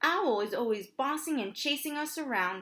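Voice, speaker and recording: A woman's put-on character voice, squeaky and high in pitch, at a moderate pace on a very clean recording with a silent background. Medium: read story.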